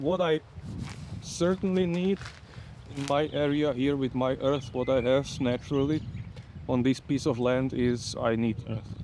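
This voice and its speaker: With a non-native accent, a man speaks at a fairly slow pace with long, frequent pauses, at medium pitch and with ordinary pitch variation. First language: not English. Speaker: home gardener. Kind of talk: casual gardening vlog narration. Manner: halting.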